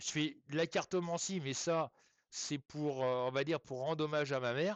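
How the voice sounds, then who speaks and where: Here a man talks at a moderate pace with a fairly high pitch. His pitch variation is ordinary. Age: 60s. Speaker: medium. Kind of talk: live stream chat. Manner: hesitant, many fillers; casual, colloquial.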